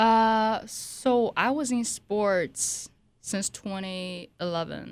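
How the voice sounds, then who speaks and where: In a very clean recording with a silent background, a woman speaks at a very slow pace with a fairly high pitch and ordinary pitch variation. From Hawaii and China. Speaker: model and medical student. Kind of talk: casual chat.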